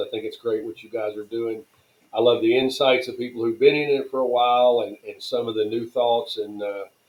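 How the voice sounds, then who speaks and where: A man speaks at a fairly quick pace with a medium pitch. His intonation is monotone and flat. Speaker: tent company president. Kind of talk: podcast interview. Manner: fast.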